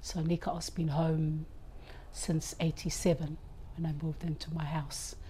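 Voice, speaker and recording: A woman speaks at a very slow pace in a very deep, low pitch with a monotone, flat intonation. Her tone is dark and mellow and somewhat breathy. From Cook Islands (Rarotonga). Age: 60s. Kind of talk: personal faith testimony.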